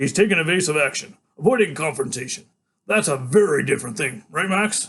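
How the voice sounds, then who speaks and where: Using a put-on character voice, a man talks at a fairly quick pace and a fairly high pitch. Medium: read story. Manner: curt, impatient.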